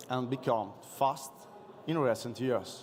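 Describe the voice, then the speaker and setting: At a fairly slow pace, a man speaks with an Italian accent. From Italy. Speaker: police officer. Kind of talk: conference presentation. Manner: halting.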